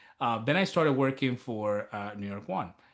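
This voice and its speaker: Here is a man with an unremarkable speaking voice and lively intonation. He keeps a moderate pace against a quiet background. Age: 30s. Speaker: TV news reporter and author. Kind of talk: interview. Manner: casual, filler-heavy.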